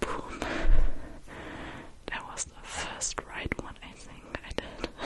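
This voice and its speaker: Whispering very slowly, a woman's voice swings widely in loudness over noticeable background noise. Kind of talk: casual talk to camera, in English. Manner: soft, relaxing.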